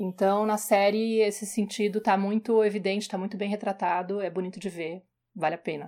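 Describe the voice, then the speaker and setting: The delivery is monotone, with flat intonation and a fairly quick pace. The tone is dark and mellow, and the recording is very clean with a silent background. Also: woman, medium pitch for a woman. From Brazil, São Paulo. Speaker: podcast co-host, parenting page creator. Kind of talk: casual podcast talk.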